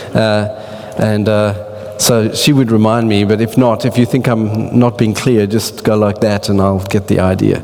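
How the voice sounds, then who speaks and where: A man with an Australian accent talks at a moderate pace and a fairly low pitch. His intonation is monotone and flat, with noticeable background noise. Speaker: church speaker. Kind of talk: talk to church audience. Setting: church with audience. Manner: halting.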